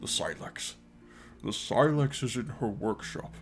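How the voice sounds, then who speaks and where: A man puts on a character voice at a medium pitch and a moderate pace, with clear background noise behind him. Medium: read story. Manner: formal, measured.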